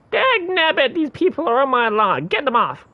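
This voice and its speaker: At a moderate pace, a high-pitched, put-on character voice delivers the lines. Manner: cranky, complaining.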